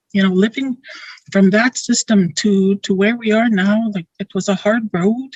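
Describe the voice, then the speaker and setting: This woman talks at a moderate pace in a medium pitch. Her voice is somewhat breathy, with fairly even intonation. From Dakota First Nation community, Manitoba, Canada. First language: Dakota. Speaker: school board member. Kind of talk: opening blessing speech. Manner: halting.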